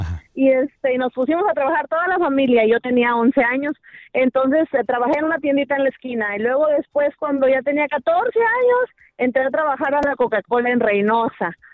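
The speaker talks at a fairly quick pace with ordinary pitch variation and hardly any pauses. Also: woman, high pitch for a woman. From Tampico, Mexico. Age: 40s. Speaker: caller. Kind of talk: phone-in conversation.

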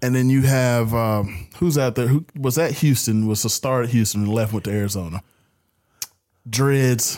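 A man talks at a moderate pace in a plain, everyday voice, medium in pitch with ordinary pitch variation. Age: 30s. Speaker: sports podcast host. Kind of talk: casual chat.

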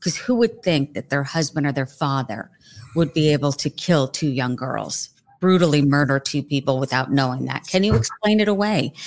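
With an American accent, the speaker talks at a moderate pace with lively intonation. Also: woman. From New Jersey. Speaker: journalist, podcast guest.

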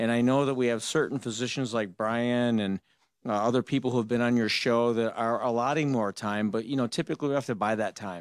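A man's normal speaking voice, medium in pitch, with an American accent, fairly even intonation, a fairly quick pace and a dry, close sound with no echo. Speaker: dentist. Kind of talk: call-in radio talk show. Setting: studio.

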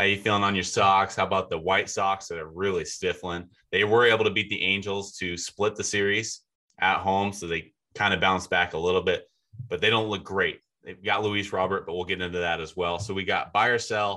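A man's fairly low voice, bright and sharp in tone, with flat, monotone intonation at a fairly quick pace against a quiet background. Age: 20s. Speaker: baseball journalist, podcast co-host. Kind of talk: casual chat.

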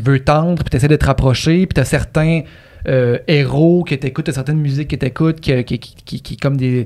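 A man with a Quebec accent speaks at a fairly high pitch. His intonation is fairly even and his pace moderate. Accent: Québécois French. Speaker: podcast co-host. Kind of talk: casual chat.

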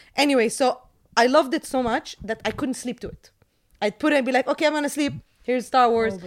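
A woman speaks at a very fast pace in a high pitch. She has an American accent. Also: ordinary pitch variation. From Jordan. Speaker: movie reviewer and YouTuber. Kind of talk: casual storytelling in an interview. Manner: animated, energetic.

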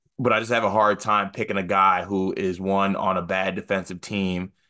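A man's fairly low voice with a bright, sharp tone against a quiet background. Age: 30s. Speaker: college basketball podcast co-host. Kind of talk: casual chat. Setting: video call.

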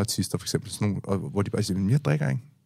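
This man's voice sits at a very deep, low pitch. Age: 30s. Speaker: podcast host. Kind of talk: casual chat. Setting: studio. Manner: halting.

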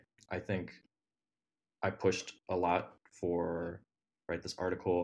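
Leaving long, frequent pauses, a man talks in a very deep, low voice with a Midwestern American accent. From Ohio. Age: 20s. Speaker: dating podcast guest. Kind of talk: casual chat.

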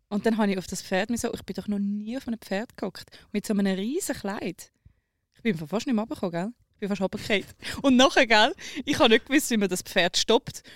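In a Zurich accent, a woman speaks at a fairly high pitch with ordinary pitch variation, big swings in loudness and long, frequent pauses. The recording is very clean and dry, close with no echo, over a silent background. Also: moderate pace. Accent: Zurich Swiss German. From rural Switzerland. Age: 20s. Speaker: radio social media producer. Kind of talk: casual chat. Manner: animated.

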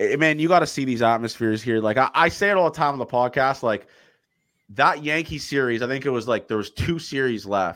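A man's medium-pitched voice with a Canadian accent, fairly quick, with ordinary pitch variation, in a very clean recording over a silent background. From Canada, Toronto. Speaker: podcast host, former baseball player. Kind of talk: casual chat. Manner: animated.

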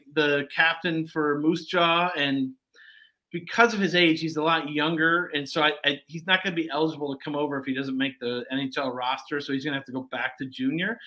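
A man speaks with an American accent at a moderate pace. His voice is fairly high, bright and sharp, with ordinary pitch variation. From US Midwest, Detroit area. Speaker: sports journalist. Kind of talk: casual chat.

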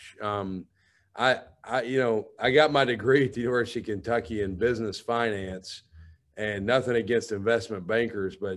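A man with a Southern US accent talks at a moderate pace. His voice sits fairly low, with fairly even intonation. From Alabama. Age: 30s. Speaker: college football head coach. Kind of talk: radio interview.

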